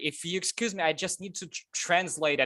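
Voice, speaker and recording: Someone speaks at a fairly quick pace with a non-native accent. The background is quiet. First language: not English. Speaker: Zoom participant asking a question. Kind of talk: Q&A question. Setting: video call. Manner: halting, many fillers.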